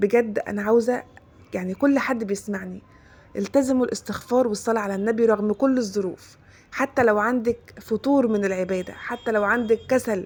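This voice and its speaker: A woman with an Egyptian accent, fairly high in pitch, with fairly even intonation. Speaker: religious content creator. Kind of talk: religious advice talk. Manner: fast.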